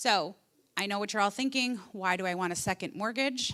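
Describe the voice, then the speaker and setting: This woman's voice sits fairly high in pitch and has a bright, sharp tone. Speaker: housing finance presenter. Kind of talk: workshop presentation. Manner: fast.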